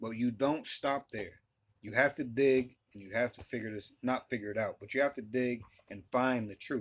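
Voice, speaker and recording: A plain, everyday voice moves at a moderate pace with fairly even intonation. Its loudness shifts in big swings. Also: man, medium pitch for a man. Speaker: religious teacher. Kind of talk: religious talk to camera. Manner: many fillers and repeated phrases.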